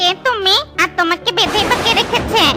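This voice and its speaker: A cartoonish character voice at an extremely high pitch and moderate pace, with clear music in the background. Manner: warm, caring.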